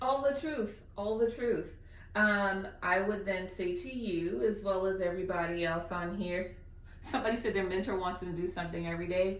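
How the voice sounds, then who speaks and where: With an American accent and ordinary pitch variation, the speaker comes through over noticeable background noise and audible room echo. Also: woman, medium pitch for a woman. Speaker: guest speaker. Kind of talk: Q&A on video call.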